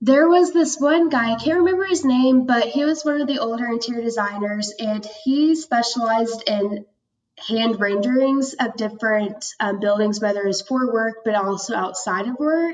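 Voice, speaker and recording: A woman with a normal speaking voice and an American accent talks at a moderate pace and fairly high pitch, using lively intonation and hardly any pauses. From Oklahoma, Tulsa. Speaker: design student. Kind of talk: interview.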